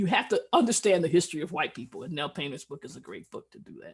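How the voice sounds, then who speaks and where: A woman speaks with vocal fry and very wide pitch swings. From US Midwest, Cleveland, Ohio. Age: 70s. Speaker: physician. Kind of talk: lecture.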